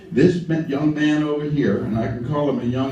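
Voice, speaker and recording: Audible room echo surrounds a man whose fairly high-pitched voice has a dark, mellow tone. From US South, lower Alabama. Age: 70s. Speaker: civil rights activist. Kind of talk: speech to a gathering.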